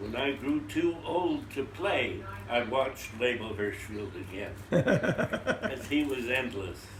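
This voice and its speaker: A man's medium-pitched voice with lively intonation at a very slow pace, amid noticeable background noise. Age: 80s+. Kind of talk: interview answer.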